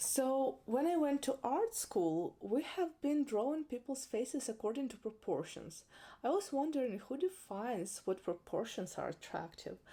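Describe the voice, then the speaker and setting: A dark, mellow tone carries very wide pitch swings. The moderate pace runs with hardly any pauses. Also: woman, high pitch for a woman. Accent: non-native. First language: not English. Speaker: makeup artist and educator. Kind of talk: educational talk to camera. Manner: occasional hesitations.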